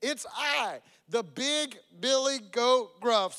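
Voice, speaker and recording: A man uses a put-on character voice pitched extremely high, speaking at a very slow pace. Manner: ugly, rough.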